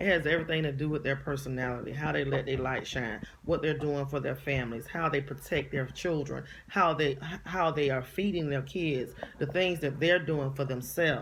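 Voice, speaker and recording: A woman speaks with a very deep, low pitch and an animated tone at a fairly quick pace. Audible echo fills the room. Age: 40s. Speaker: vlogger, inspirational speaker. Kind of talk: casual monologue vlog. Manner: animated, emphatic.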